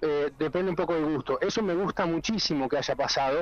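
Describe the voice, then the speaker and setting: A man's high voice moves at a moderate speed, its pitch varying in an ordinary way. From rural northwest Buenos Aires province, Argentina. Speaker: bartender and vermouth maker. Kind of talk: casual interview. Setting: phone call.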